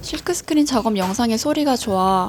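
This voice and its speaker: Her voice is somewhat breathy, and this woman keeps to a moderate pace. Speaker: illustrator. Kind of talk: vlog voice-over narration.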